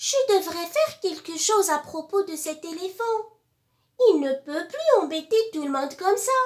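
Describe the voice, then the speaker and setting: Putting on a character voice, a woman speaks at a moderate pace with an extremely high pitch. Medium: read story.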